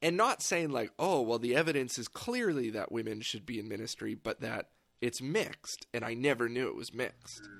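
A man uses an ordinary speaking voice at a medium pitch, with ordinary pitch variation, a fairly quick pace, and big swings in loudness. The recording is very clean, with a silent background. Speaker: podcast host. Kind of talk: casual chat.

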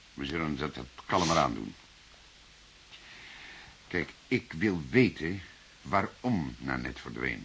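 A man puts on a character voice pitched extremely low, with vocal fry, big pitch swings, a fairly bright tone, a slow pace and long, frequent pauses.

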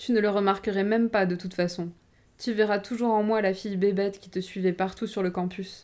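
An unforced voice reads the text. Its rise and fall remain fairly even.

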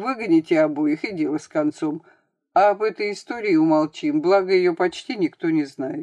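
A quiet background under plain reading aloud

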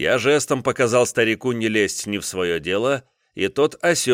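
The background stays quiet. A natural reading voice carries the clip.

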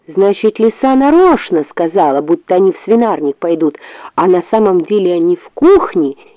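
Throughout, the speaker uses an unforced reading voice.

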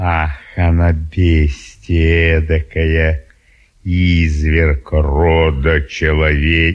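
A man's put-on character voice, extremely low in pitch, very slow, with little pitch movement

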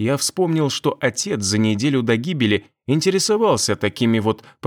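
A natural reading voice carries the clip. Behind it, the background stays quiet.

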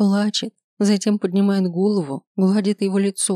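This is reading aloud in a natural voice. The background is quiet.

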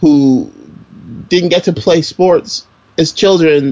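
His accent is American. The man's intonation rises and falls in a lively way. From US Northeast, Brooklyn, New York. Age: 30s. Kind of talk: casual chat. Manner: animated.

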